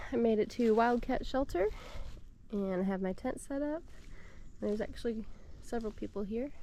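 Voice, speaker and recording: Fairly high-pitched, a woman has a dark, mellow tone and ordinary pitch variation. She talks at a fairly quick pace, broken by long, frequent pauses. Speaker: long-distance hiker vlogger. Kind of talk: video diary. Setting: outdoors on trail. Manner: quiet.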